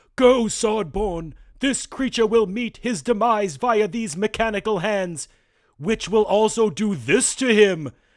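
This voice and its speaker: A man's put-on character voice, high-pitched and fairly slow, on a very clean recording with a silent background. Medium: read story.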